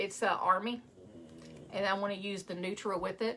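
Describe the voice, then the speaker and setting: A woman's bright, sharp tone in a West Texas accent, at a moderate pace. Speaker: craft maker. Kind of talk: live craft tutorial. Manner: casual, chatty.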